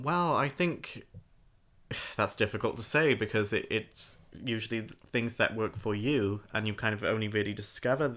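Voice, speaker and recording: A man with a British accent speaks at a fairly quick pace and a fairly low pitch. His pitch varies in an ordinary way, and the recording is very clean with a silent background. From Britain. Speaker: podcast co-host. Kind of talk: casual chat.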